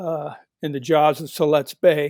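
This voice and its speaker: In a dry, close sound with no echo, a man with a Pacific Northwest accent speaks at a fairly high pitch. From Portland, Oregon, US Pacific Northwest. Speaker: author. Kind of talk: interview.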